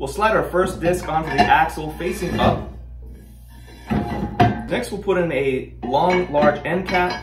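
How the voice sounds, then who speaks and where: Clear music plays in the background as a man with a high pitch talks at a moderate pace with ordinary pitch variation. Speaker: outdoor gear channel host. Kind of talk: product unboxing tutorial. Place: studio.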